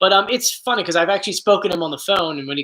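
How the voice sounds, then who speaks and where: In a raised, projected voice, a man speaks at high pitch with a bright, sharp tone and an animated tone. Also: very clean recording, silent background. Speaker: YouTuber answering viewer questions. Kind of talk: casual Q&A chat.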